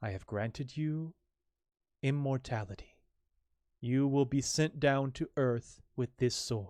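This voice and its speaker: A man's put-on character voice at medium pitch, fairly slow, with long, frequent pauses and a quiet background. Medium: read story. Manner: stern, commanding.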